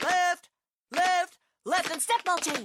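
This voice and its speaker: The voice is extremely high in pitch. It is a put-on character voice. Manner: barking, commanding.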